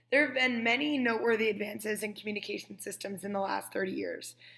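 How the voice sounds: A woman speaks with fairly high pitch, a bright, sharp tone, vocal fry and little pitch movement.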